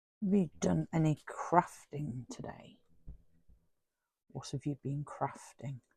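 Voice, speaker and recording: Captured with a dry, close sound with no echo, a woman speaks in a British accent with a very deep, low pitch, a dark, mellow tone and a somewhat breathy quality. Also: very clean recording, silent background. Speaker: crafting YouTuber. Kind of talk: casual craft tutorial chat.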